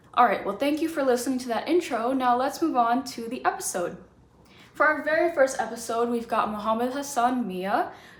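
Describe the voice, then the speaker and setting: High-pitched woman's voice with an American accent, moderate pace, audible room echo, and noticeable background noise. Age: 20s. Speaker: podcast host. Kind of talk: scripted intro reading; interview.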